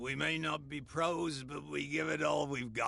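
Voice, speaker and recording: A raspy put-on character voice from a man, fairly high in pitch, at a moderate pace over light background noise. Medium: video game. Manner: plainspoken.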